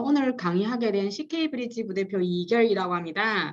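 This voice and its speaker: This woman has a Chinese accent. Her pitch is medium. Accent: Chinese accent in Korean, self-noted. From China. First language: Chinese (speaking Korean). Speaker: business consultant giving a webinar lecture. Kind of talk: lecture. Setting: live online webinar with chat. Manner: halting, many fillers and restarts.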